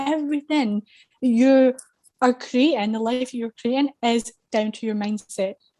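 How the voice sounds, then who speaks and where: In a Scottish accent, a woman with a high pitch and a dark, mellow tone speaks with fairly even intonation, the sound dry and close with no echo. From Scotland. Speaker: confidence coach. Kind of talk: casual chat.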